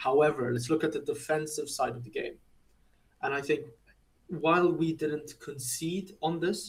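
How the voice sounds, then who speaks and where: At a moderate pace broken by long, frequent pauses, a man with a non-native accent speaks in a fairly high pitch with fairly even intonation. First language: not English. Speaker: football podcast co-host. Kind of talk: casual chat.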